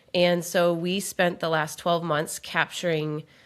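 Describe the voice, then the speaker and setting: A woman with an Upper Midwest accent and a fairly low pitch, on a very clean recording with a silent background. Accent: Upper Midwest American. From Minnesota, Twin Cities. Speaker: podcast co-host and author. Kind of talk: casual chat.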